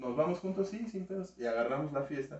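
Over noticeable background noise, the speaker moves at a fairly quick pace with lively intonation. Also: man. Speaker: youtuber. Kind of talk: casual chat.

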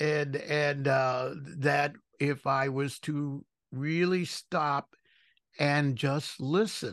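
A man with a fairly high pitch speaks at a very slow pace and with fairly even intonation against a quiet background. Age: 70s. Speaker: podcast host. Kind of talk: casual interview.

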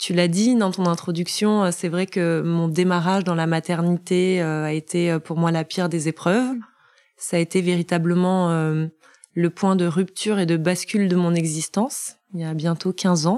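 A woman speaks at a fairly slow pace in a fairly low pitch with a dark, mellow tone. Her intonation stays fairly even. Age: 40s. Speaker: finance professional and bereaved mother. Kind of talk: personal testimony interview. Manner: fluent.

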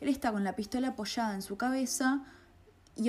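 Speaking at a fairly quick pace, a woman sounds somewhat breathy and shows ordinary pitch variation. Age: 20s. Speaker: film critic podcaster, journalism student. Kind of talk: solo podcast monologue, film analysis.

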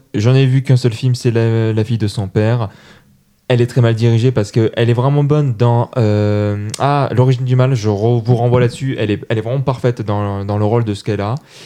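At a fairly quick pace, a man talks in a medium pitch with a dark, mellow tone. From Toulouse, France. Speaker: podcast host. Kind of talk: casual chat. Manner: animated.

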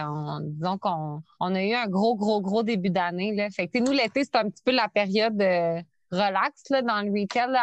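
In a Quebec accent, a woman talks at a very slow pace with lively intonation and fairly high pitch, the sound dry and close with no echo over a quiet background. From Quebec City. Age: 30s. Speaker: entrepreneur. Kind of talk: interview. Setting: remote call.

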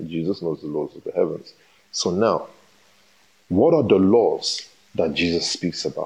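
This man speaks at a moderate pace. He leaves long, frequent pauses. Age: 30s. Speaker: pastor. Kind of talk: sermon. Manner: animated.

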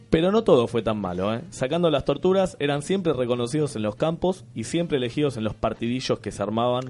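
A man with a Rioplatense accent talks at a fairly quick pace in a medium pitch, with lively intonation and hardly any pauses. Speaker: comedy podcast host. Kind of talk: casual comedic chat.

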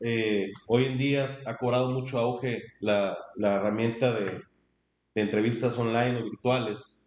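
The speaker is a man at a medium pitch. He talks at a fairly slow pace with monotone, flat intonation. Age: 30s. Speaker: human resources manager. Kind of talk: interview. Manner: halting.

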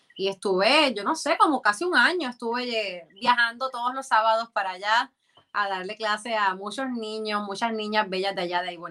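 A woman at a fairly high pitch with lively intonation, a normal speaking voice, and a moderate pace. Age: 30s. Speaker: influencer and former dancer and model. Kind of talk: interview.

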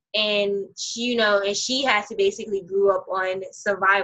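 A woman with a strong New York accent speaks at medium pitch and a moderate pace, using fairly even intonation and a bright, sharp tone. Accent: New York, heavy. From Brooklyn, New York. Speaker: podcast host. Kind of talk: casual chat, podcast interview. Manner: casual, slangy.

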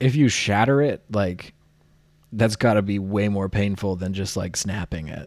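Recorded very cleanly against a silent background, a man talks at a moderate pace with a fairly low pitch and an unremarkable speaking voice. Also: ordinary pitch variation. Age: 20s. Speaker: podcast co-host. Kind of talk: casual chat.

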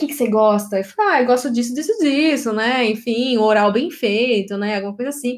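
Her voice high in pitch, a woman talks at a fairly quick pace with hardly any pauses and ordinary pitch variation. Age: 20s. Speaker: podcast host. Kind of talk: casual chat.

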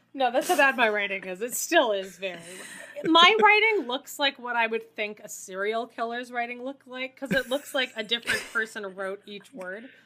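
Speaking at a moderate pace with a Canadian accent, a woman uses a high pitch and lively intonation amid noticeable background noise. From Canada. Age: 30s. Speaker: teacher. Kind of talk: casual chat.

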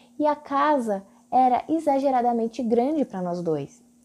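A woman with a strong São Paulo accent speaks at a high pitch with lively intonation and a dark, mellow tone. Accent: strong São Paulo accent, paulistano R. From Brazil, São Paulo. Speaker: podcast host and digital influencer. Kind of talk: solo podcast monologue.

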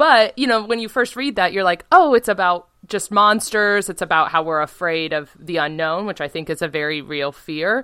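A woman speaks at medium pitch and a moderate pace with hardly any pauses. Her tone is bright and sharp, and her intonation lively. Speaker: podcast host. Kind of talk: casual chat, comedic podcast discussion. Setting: remote recording, video call.

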